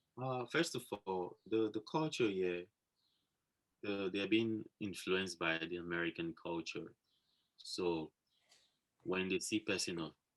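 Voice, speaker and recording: In a Nigerian accent, a man talks at a fairly slow pace with a very deep, low pitch and ordinary pitch variation, the sound dry and close with no echo. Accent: Nigerian (Yoruba) English. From Nigeria, Yoruba. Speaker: fashion model. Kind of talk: interview.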